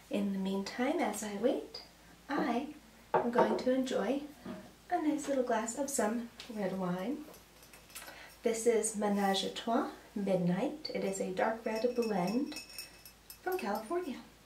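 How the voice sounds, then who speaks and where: There is audible room echo and light background noise. A woman talks fairly slowly, leaving long, frequent pauses. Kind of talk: tutorial. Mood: cheerful, relaxed. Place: kitchen. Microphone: camera far.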